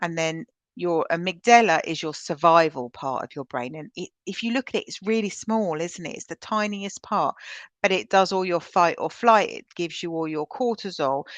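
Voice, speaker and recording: Big swings in loudness, a moderate pace, a British accent and lively intonation, all in a dry, close sound with no echo. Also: woman, fairly low pitch for a woman, quiet background. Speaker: trauma-informed practice trainer. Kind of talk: webinar presentation. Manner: energetic, loud; conversational with filler ums.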